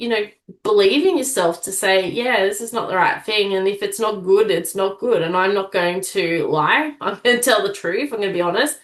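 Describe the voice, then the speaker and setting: A woman's medium-pitched voice in an Australian accent, with ordinary pitch variation and a moderate pace. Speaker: public speaking coach, aspiring sports commentator. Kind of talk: interview. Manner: direct.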